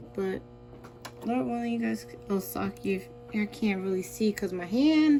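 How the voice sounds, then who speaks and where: Music plays in the background as a woman speaks. She goes at a fairly slow pace with long, frequent pauses. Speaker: sewing tutorial vlogger. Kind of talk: tutorial. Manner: casual, halting with fillers.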